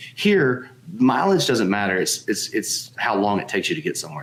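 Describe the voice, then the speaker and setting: A man speaks at a medium pitch with a slight Southern US accent. His pitch swings very widely. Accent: slight Southern drawl. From Alabama, Tuscaloosa. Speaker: board game publisher. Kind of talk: casual interview chat.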